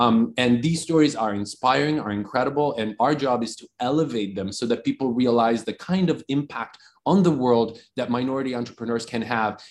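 A man with an Italian accent, at a moderate pace and with ordinary pitch variation. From Italy. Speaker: entrepreneur and investor. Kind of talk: interview.

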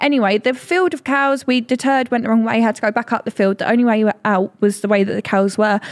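A woman with an English accent talks at a very fast pace and a fairly high pitch. The sound is dry and close, with no echo. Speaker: podcast co-host. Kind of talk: casual chat.

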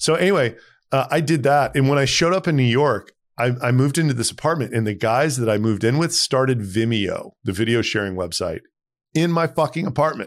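A man with an American accent, medium pitch and an ordinary speaking voice. His loudness stays very even on a very clean recording with a silent background. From Texas. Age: 40s. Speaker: tech startup founder and CEO. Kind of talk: interview.

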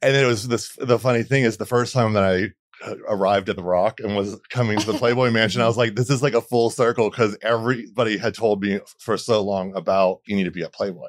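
Speaking very fast with hardly any pauses, a man with an American accent keeps a medium pitch and fairly even intonation in a very clean recording with a silent background. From Florida. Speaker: makeup artist. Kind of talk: casual chat.

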